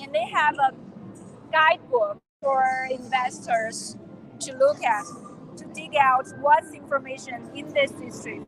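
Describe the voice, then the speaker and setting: This voice is shouting at a fairly slow pace, with big swings in loudness and ordinary pitch variation. Long, frequent pauses break up the speech. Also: woman, high pitch for a woman. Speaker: live event presenter. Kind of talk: live on-location tour presenting. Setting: trade fair exhibition hall. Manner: yelling over noise.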